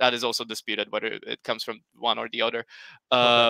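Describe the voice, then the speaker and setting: With a Slovak accent, a man speaks fairly quickly in a bright, sharp tone, with a dry sound with no echo and a quiet background. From Slovakia. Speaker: history YouTuber. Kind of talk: panel discussion on livestream. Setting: video call livestream. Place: home room. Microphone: headset.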